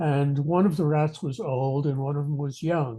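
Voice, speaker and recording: A man talks at a fairly slow pace in a fairly high pitch, his tone dark and mellow, somewhat breathy, with fairly even intonation. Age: 70s. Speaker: retired professor and aging researcher. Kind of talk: interview. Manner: halting.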